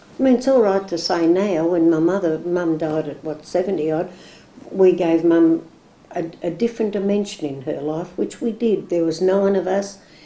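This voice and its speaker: A woman speaks in a dark, mellow tone at a fairly low pitch. Her pace is moderate, with ordinary pitch variation. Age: 60s. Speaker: oral history interviewee. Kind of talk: oral history interview. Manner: hesitant, repetitive.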